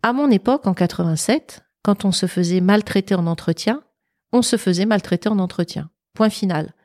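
A woman speaks in a plain, everyday voice at a fairly slow pace, medium in pitch with ordinary pitch variation and very even loudness. The sound is dry and close with no echo, on a very clean recording with a silent background. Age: 50s. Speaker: public speaker and former recruiter. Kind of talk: casual interview. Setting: at her home.

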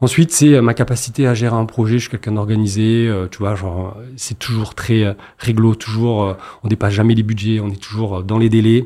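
A man talks at a medium pitch with fairly even intonation. He has an ordinary speaking voice. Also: moderate pace. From Marseille, southern France. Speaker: entrepreneur, agency founder. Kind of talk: interview.

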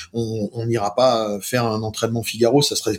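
A somewhat breathy man's voice at medium pitch. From Brittany, northern Finistère (Carantec). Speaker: sailing race organiser. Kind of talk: casual interview.

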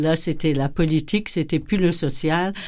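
On a very clean recording with a silent background, a woman speaks at a moderate pace in a fairly low pitch, her dark, mellow tone carrying ordinary pitch variation. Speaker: nun. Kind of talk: testimony.

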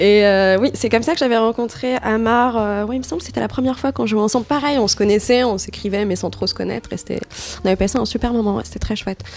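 Through noticeable background noise, a woman talks at a very fast pace with ordinary pitch variation. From Morocco, Rabat. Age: 20s. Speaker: DJ and artist manager. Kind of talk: casual interview. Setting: at home.

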